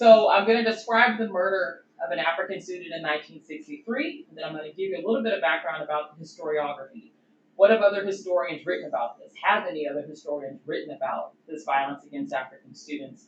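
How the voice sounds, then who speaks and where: A woman with an American accent talks at a very fast pace in a fairly low pitch. Her intonation is lively, and her loudness swings widely. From US Deep South. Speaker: doctoral researcher, historian. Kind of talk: conference presentation. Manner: casual, conversational.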